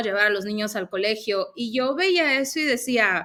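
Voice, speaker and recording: Speaking with a northern Mexican accent, a woman has a fairly high pitch. Her pace is fairly slow. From northern Mexico, Mexicali, Baja California. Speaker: former aviation sales professional, Access Consciousness practitioner. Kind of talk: interview. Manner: speaks a bit loud.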